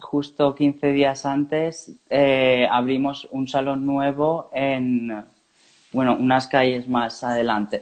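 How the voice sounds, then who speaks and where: A man with a fairly high pitch talks in a monotone, flat way. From Valencia region, Spain (Turís). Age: 20s. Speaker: hairdresser, salon owner. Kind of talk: live online interview.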